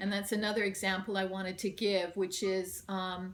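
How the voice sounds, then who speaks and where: Noticeable background noise sits behind this speaker. She is a woman of medium pitch talking at a moderate pace. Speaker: union organizer. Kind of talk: conference presentation.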